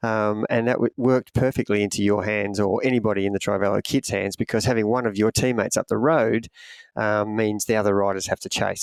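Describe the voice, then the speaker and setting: A man with an Australian accent, fairly low in pitch, fairly even in intonation and fairly quick in pace, in a dry, close sound with no echo on a very clean recording with a silent background. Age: 60s. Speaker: triathlon coach. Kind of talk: casual podcast chat.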